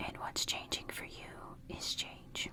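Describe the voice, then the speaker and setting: A very slow whisper comes through. Background noise is clearly noticeable. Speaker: tarot reader. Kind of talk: ASMR tarot reading. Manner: whispered, soft.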